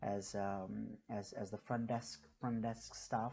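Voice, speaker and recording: In a flat monotone, a man with an Indian accent speaks in a dark, mellow tone against a quiet background. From India (New Delhi). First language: Hindi. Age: 30s. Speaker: YouTuber and business owner. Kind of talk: casual vlog introduction. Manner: halting, many fillers and repetitions.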